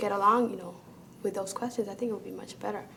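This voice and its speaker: A woman with a Spanish accent and a fairly high pitch. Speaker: student. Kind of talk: testimony.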